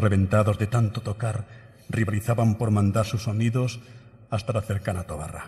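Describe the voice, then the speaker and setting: Against a quiet background, a man talks at a fairly quick pace with fairly even intonation, a solemn, dark, mellow tone, and a somewhat breathy quality. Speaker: pregón speaker (Holy Week proclamation orator). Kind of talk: pregón oratory, solemn poetic Holy Week proclamation delivered to an audience. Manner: solemn, rhythmic and emotive, lyrical cadence with evocative, measured pauses. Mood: solemn, emotive. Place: hall. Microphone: podium.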